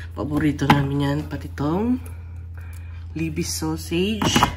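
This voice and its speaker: Speaking at a fairly slow pace with lively intonation, a woman is heard with audible room echo and noticeable background noise. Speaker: vlogger. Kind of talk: casual vlog, grocery haul. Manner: casual, unscripted.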